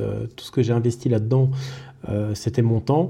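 A man's somewhat breathy voice with a dark, mellow tone at a medium pitch. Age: 30s. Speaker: IT technician and podcaster. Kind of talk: solo podcast monologue. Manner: hesitant, many fillers.

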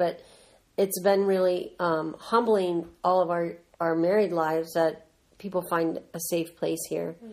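Here a woman speaks at a fairly slow pace in an American accent. Her intonation is monotone and flat, and her pitch is fairly low. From Southern California. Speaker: ministry co-founder, mother. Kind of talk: casual family interview.

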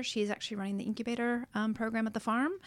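With an American accent, a woman is speaking. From Texas hill country, US. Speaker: chief executive of an organic food store. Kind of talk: radio interview. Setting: radio studio.

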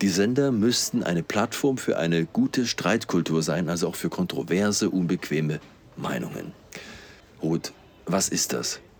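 Against noticeable background noise, a man with a very deep, low voice makes very wide pitch swings and leaves long, frequent pauses. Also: fairly slow pace. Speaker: podcast host. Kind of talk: interview. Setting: café in a train station.

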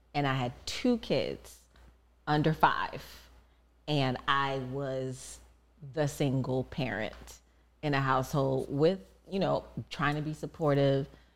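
A woman's very deep, low voice with vocal fry and an American accent, very slow with long, frequent pauses and fairly even intonation. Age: 40s. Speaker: podcast co-host, mother of two. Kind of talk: casual chat.

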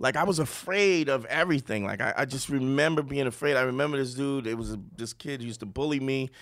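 With a Brooklyn accent, a man talks at a very fast pace with hardly any pauses, at medium pitch and with ordinary pitch variation. The recording is very clean, with a silent background. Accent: New York (Brooklyn). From Brooklyn, New York. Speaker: comedian. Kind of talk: casual chat.

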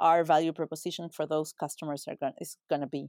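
In a Spanish accent, a woman speaks at a fairly low pitch with fairly even intonation, her sound dry and close with no echo on a very clean recording with a silent background. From Uruguay. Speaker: retail executive. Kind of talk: interview.

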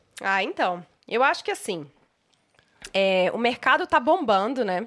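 The woman has an unremarkable speaking voice. Her pitch is fairly high. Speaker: image and style consultant, podcast co-host. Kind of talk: casual chat.

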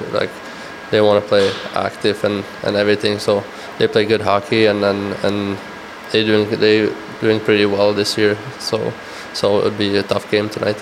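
Over noticeable background noise, a man with a Czech accent and a fairly low pitch speaks at a moderate pace in a monotone, flat way, with very even loudness and long, frequent pauses. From Czech Republic. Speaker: professional ice hockey player. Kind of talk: interview. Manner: halting, with many repetitions.

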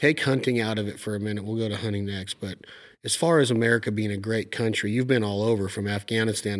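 On a very clean recording with a silent background, a man with a fairly low pitch talks at a very fast pace. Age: 40s. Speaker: podcast host and outdoors TV host. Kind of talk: casual interview. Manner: animated.

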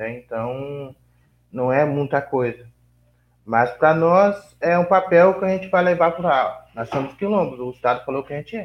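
Lively, moderately paced male speech, fairly high in pitch, a normal speaking voice. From Vale do Ribeira, São Paulo state, Brazil. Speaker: quilombola community leader. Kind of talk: interview.

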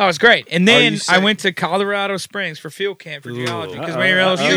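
A man with a high voice and a slight Southern US accent talks very fast in a raised, projected voice, his loudness swinging widely, with noticeable background noise and a dry, close sound with no echo. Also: ordinary pitch variation. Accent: slight Southern country twang. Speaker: podcast guest. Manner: casual, storytelling.

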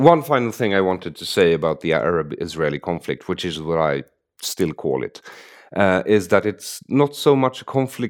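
A man's very deep, low voice with a Swedish accent, at a moderate pace, in a very clean recording with a silent background. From Sweden. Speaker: podcast host. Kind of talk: casual conversation.

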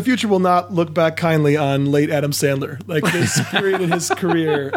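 At a moderate pace, a man talks in a fairly high voice with ordinary pitch variation and very even loudness, over noticeable background noise. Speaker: podcast guest, comedian. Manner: sarcastic.

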